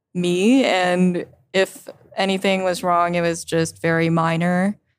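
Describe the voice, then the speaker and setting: A woman's ordinary speaking voice, medium in pitch, at a fairly slow pace. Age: 20s. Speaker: developer advocate. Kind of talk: casual chat. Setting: conference recording.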